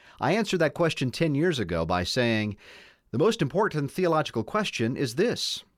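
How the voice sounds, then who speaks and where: A man talks at a moderate pace with a medium pitch, vocal fry and very wide pitch swings. The recording is very clean, with a silent background. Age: 50s. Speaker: radio host and Presbyterian pastor. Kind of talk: interview on radio show. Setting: studio.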